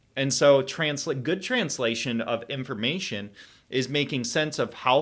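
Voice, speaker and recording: In a very clean recording with a silent background, a man with a Michigan accent speaks at a fairly slow pace with ordinary pitch variation. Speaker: health educator. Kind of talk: lecture with slides. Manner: halting with fillers and self-corrections.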